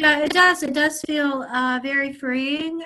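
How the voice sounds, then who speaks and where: A woman speaks in a high pitch with a bright, sharp tone. Her voice is raised and projected, at a fairly slow pace. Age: 60s. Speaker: caller getting a psychic reading. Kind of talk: casual chat. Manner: halting.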